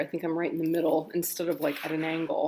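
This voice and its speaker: A woman speaks at a moderate pace. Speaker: tarot deck reviewer. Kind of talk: unboxing video. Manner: casual, hesitant with fillers.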